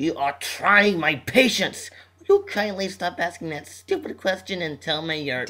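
Speech moves at a moderate pace. The pitch shifts ordinarily. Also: man, high pitch for a man. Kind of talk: comic overacting. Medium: comedy sketch. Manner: polite at first, then increasingly frustrated and shouting.

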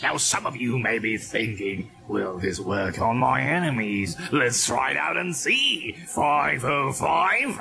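A man puts on a character voice at a medium pitch, speaking at a fairly slow pace with hardly any pauses over clear background noise. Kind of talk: sinister infomercial pitch. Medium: fan dub. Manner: menacing, theatrical, contemptuous.

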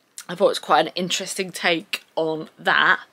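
Bright and sharp in tone, a woman's fairly low voice moves at a moderate pace. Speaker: book vlogger. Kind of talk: casual vlog chat. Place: home room. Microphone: phone near.

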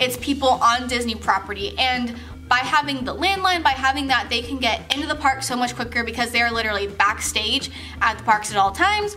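The speaker moves at a fairly quick pace while faint music plays in the background. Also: woman, high pitch for a woman. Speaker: vlogger telling a work story. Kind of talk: casual vlog chat. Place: home room. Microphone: camera far.

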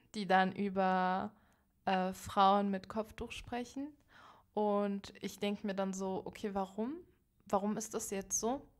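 A woman's medium-pitched voice at a very slow pace, broken by long, frequent pauses. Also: very clean recording, silent background. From Berlin, Germany. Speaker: podcast guest, young activist. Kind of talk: casual interview conversation. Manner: animated, extroverted.

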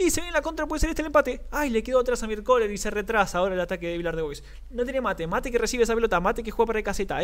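A man speaks at a very fast pace. His pitch sits high for a man, with ordinary pitch variation. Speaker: sports commentator. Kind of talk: live commentary. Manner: animated, rapid-fire play-by-play; excitable, shouts at near-misses.

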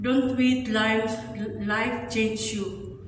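Over light background noise and audible room echo, a woman speaks at a very slow pace. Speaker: vlogger. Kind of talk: casual vlog chat. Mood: reflective, encouraging. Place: gym. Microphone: phone near.

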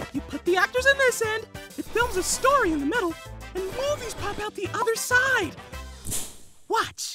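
Faint music plays behind a cartoonish character voice that moves at a moderate pace with long, frequent pauses. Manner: bossy, demanding.

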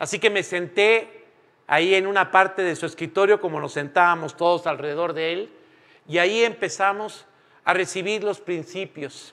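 The tone is bright and sharp, with fairly even intonation. The pace is moderate. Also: man, high pitch for a man. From Mexico. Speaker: preacher. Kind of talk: sermon. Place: church.

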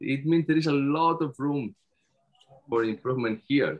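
A man with a Spanish accent. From Spain, Barcelona; Catalonia, Spain. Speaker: PhD researcher; conference presenter. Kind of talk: conference presentation. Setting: video call. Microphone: video call.

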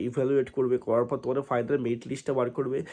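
Dark and mellow, the voice belongs to a man. He is talking. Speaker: exam coaching YouTuber. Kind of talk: informational update video.

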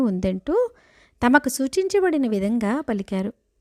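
A woman with an ordinary speaking voice is heard in a very clean recording with a silent background and a dry, close sound with no echo. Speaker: devotional storyteller. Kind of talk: scripture storytelling. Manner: paused phrasing.

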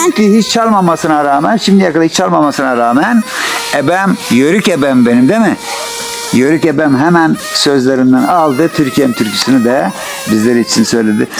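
Moderate pace over noticeable background noise. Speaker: field reporter. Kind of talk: casual talk to camera. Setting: outdoors.

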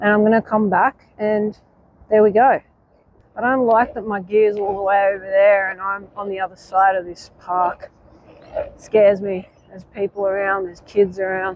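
At a moderate pace, a woman speaks at medium pitch with little pitch movement.

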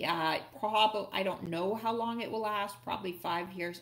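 Hardly pausing, a woman talks at a moderate pace with fairly even intonation. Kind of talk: tutorial. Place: home room. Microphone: webcam.

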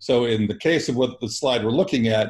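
Pitch moves in an ordinary way. There is a somewhat breathy quality to the voice. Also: man. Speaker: co-host of financial literacy class. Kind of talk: casual chat.

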